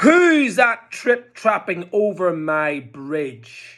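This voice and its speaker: A put-on character voice growls at a middle pitch. It moves at a very slow pace. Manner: growling.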